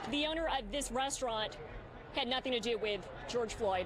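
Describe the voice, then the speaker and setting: A woman's high voice at a moderate pace, with ordinary pitch variation and very even loudness, over noticeable background noise. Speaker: television reporter and helicopter photojournalist. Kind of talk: live news reporting and interview questions. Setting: outdoors at a live news scene.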